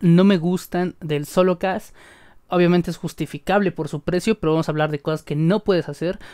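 The speech runs at a fairly quick pace. The background is quiet. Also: man. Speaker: tech reviewer. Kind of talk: product review. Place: home room. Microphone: studio mic.

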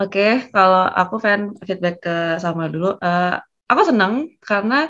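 A woman with a normal speaking voice talks at a fairly slow pace, her medium pitch rising and falling in a lively way against a quiet background. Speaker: job-interview practice participant. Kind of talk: group discussion feedback. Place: home room. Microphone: video call.

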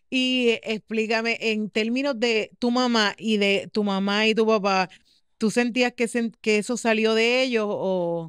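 With a Puerto Rican accent, a woman talks at a fairly slow pace, her intonation fairly even and her loudness very even, in a dry sound with no echo against a quiet background. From Puerto Rico. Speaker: podcast host. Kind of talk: casual interview chat. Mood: warm, curious. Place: studio. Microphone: studio mic.

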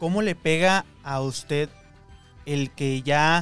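Over faint background music, a man speaks with ordinary pitch variation in a dry sound with no echo. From Ciudad Juárez, Mexico; Mexico. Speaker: podcast host / interviewer; podcast host, interviewer. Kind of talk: interview questions, casual conversation. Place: studio. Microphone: studio mic.

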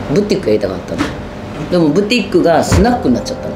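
Noticeable background noise is present. Over it, a woman talks. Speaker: bar owner. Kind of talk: documentary interview answer. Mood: candid, wry storytelling. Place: bar.

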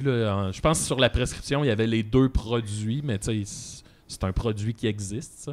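With fairly even intonation, a man talks fairly slowly at a medium pitch. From Quebec. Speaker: comedian podcast co-host. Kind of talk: casual chat. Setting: studio. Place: studio. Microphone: studio mic.

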